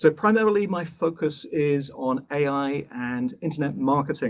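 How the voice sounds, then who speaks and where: Lively intonation marks this man's speech, delivered with a British accent. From England (Bath and London). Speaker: professor. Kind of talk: lecture. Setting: online webinar. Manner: brisk.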